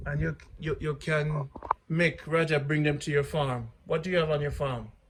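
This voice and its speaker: This man has a Jamaican accent and talks at a moderate pace with monotone, flat intonation. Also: fairly high pitch for a man. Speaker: vlogger. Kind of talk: casual chat.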